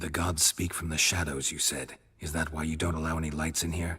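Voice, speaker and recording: A man puts on a character voice with a very deep, low pitch. He moves at a fairly quick pace in a monotone, flat intonation. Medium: video game. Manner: terse, dry.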